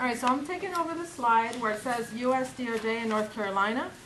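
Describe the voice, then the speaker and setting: Amid noticeable background noise and audible room echo, a woman with a high voice talks at a fairly quick pace. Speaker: conference presenter, state mental health official. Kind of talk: conference presentation.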